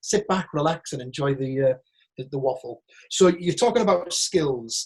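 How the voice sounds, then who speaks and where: A man speaks at a fairly slow pace with a northern English accent. His pitch sits fairly high. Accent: northern English, broad. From northern England, Teesside. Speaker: actor. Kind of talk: Q&A monologue. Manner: animated.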